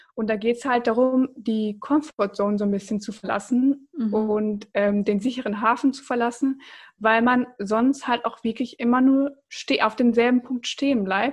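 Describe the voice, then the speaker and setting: Against a quiet background, a woman with an unremarkable speaking voice talks at a moderate pace with a fairly high pitch and fairly even intonation. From Germany, Bocholt (Münsterland). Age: 20s. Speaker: startup founder. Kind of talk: casual interview.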